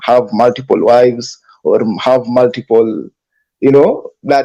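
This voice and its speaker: Speaking at a fairly slow pace, a man with a non-native accent uses lively intonation in a dark, mellow tone. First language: not English. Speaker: panelist. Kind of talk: heated debate. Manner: halting.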